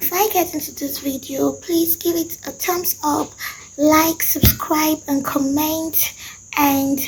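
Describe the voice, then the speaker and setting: Noticeable background noise sits behind this woman. She speaks at a fairly slow pace with fairly even intonation. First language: Nupe. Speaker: language and culture teacher. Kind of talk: tutorial.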